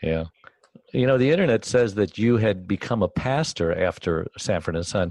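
This man has a normal speaking voice, fairly low in pitch, with lively intonation at a moderate pace. The sound is dry and close with no echo. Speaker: co-host, caregiver advocate. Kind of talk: interview.

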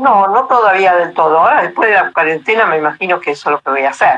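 A woman speaks with lively intonation in a Rioplatense accent. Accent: Argentine Rioplatense Spanish. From Argentina, Buenos Aires and Córdoba. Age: 80s+. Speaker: retired traveller living in a motorhome. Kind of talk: interview.

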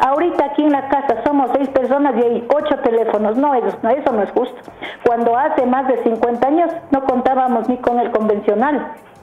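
A woman speaks at a high pitch and moderate pace with ordinary pitch variation and very even loudness. Audible room echo and noticeable background noise come through. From southern Quito, Ecuador. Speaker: radio caller. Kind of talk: phone-in opinion. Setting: phone call. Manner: animated.

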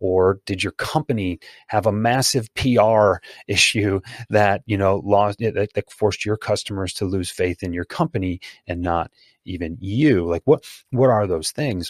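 With an ordinary speaking voice, a man talks at a fairly low pitch and moderate pace with ordinary pitch variation, the sound dry and close with no echo over a quiet background. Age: 40s. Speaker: sales consultant and author. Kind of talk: casual interview.

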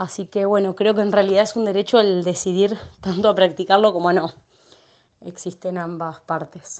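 A woman's medium-pitched voice moves at a moderate pace, its intonation monotone and flat. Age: 20s. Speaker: community health worker. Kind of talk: testimony. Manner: halting.

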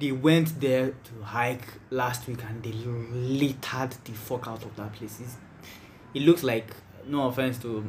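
A man speaks at medium pitch and a fairly slow pace, somewhat breathy, with fairly even intonation, big swings in loudness and audible room echo. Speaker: podcast host. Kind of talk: casual chat.

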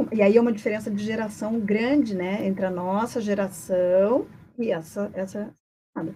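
A normal speaking voice at a moderate pace. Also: woman, medium pitch for a woman. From Brazil, Paraná (Curitiba). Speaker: psychologist. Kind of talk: podcast interview. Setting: studio, live on radio.

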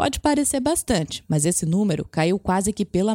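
Lively intonation and a dark, mellow tone mark this woman's voice, heard dry and close with no echo on a very clean recording with a silent background. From Brazil, interior. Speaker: journalist, podcast host. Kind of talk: interview with scripted narration segments.

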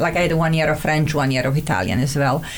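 A woman speaks with a Montenegrin accent. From Montenegro. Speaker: immigrant guest, therapist. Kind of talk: casual interview chat. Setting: studio.

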